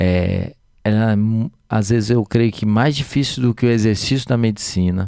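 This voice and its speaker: In a Minas Gerais accent, a man speaks at medium pitch and a moderate pace with a dark, mellow tone, fairly even intonation and very even loudness, the sound dry and close with no echo on a very clean recording with a silent background. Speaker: physician and city councillor. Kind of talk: casual podcast chat. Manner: hesitant, many fillers.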